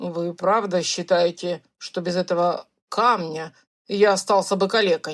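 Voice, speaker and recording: A put-on character voice at a moderate pace, with fairly even intonation. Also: woman, medium pitch for a woman. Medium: read story. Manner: loud, blustering.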